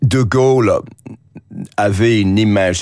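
Very slowly, a man talks with an English accent. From England. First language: English (speaking French). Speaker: journalist. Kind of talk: radio interview. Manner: hesitant, frequent fillers and repetitions.

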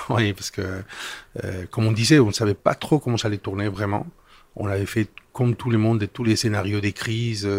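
Somewhat breathy, a man with a Spanish accent talks at a fairly quick pace and fairly low pitch in monotone, flat intonation. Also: very clean recording, silent background. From Spain. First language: Spanish (speaking French). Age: 50s. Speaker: business executive. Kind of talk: interview. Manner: halting.

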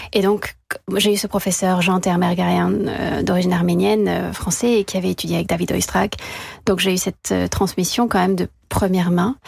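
At a moderate pace, a woman talks with very even loudness. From France. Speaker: violinist. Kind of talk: radio interview.

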